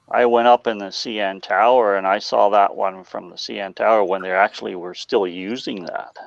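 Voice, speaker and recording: A man's fairly low voice at a moderate pace with hardly any pauses, fairly even intonation and big swings in loudness, over noticeable background noise. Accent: Ontario. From Ontario, Canada. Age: 60s. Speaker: model railroad hobbyist. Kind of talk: casual chat.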